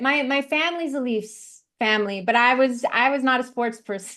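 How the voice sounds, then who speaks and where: A woman's raised, projected voice, high-pitched and bright and sharp in tone, with a Canadian accent, a fairly quick pace and a quiet background. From Canada, Vancouver. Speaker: matchmaker, dating expert. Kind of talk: interview.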